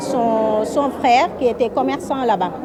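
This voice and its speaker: Crowd noise fills the background as a woman talks at a fairly slow pace. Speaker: exhibition organizer. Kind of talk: interview answer.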